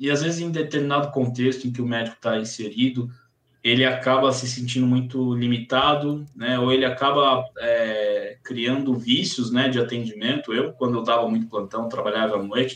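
With an ordinary speaking voice, this man speaks at medium pitch, a moderate pace and fairly even intonation. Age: 30s. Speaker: psychiatrist and sleep medicine doctor. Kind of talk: casual chat.

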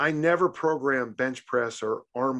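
The man uses a plain, everyday voice at medium pitch with ordinary pitch variation. Behind him the background is quiet. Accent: American. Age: 60s. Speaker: strength coach. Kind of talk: casual chat.

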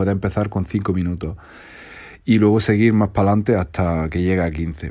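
With an Andalusian accent, a man speaks at a moderate pace with ordinary pitch variation. His tone is dark and mellow, and the background is quiet. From Andalusia, Spain. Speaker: content creator. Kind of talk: advice monologue.

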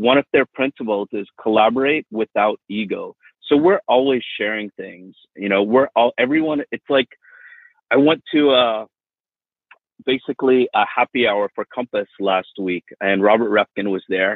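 A man with a plain, everyday voice and an American accent, at a moderate pace and medium pitch with ordinary pitch variation. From Miami, Florida. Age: 40s. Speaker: real estate agent. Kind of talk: interview.

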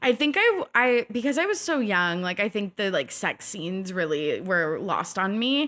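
Her pitch swinging very widely, a woman talks at a moderate pace with hardly any pauses. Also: medium pitch for a woman. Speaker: podcast host. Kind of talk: casual chat.

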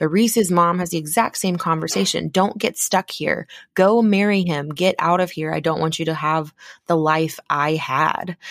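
A woman's fairly low voice moves at a moderate pace, its pitch varying in an ordinary way. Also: dry, close sound with no echo. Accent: Texan. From Texas. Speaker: podcast host. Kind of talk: casual chat. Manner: animated.

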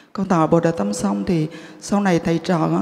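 Fairly slow speech with very wide pitch swings over noticeable background noise. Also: woman. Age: 50s. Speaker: Buddhist lay practitioner. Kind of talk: testimony.

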